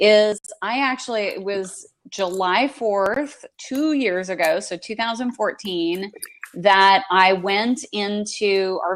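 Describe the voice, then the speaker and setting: Ordinary pitch variation runs through this unremarkable speaking voice. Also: woman. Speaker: entrepreneur and author. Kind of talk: interview. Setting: live online video chat.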